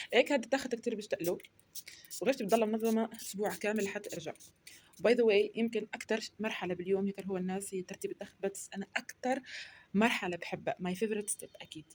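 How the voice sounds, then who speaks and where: Speaking very fast, a woman uses a fairly high pitch with ordinary pitch variation. Her loudness swings widely. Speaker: university student vlogger. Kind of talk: casual vlog. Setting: at home in bedroom.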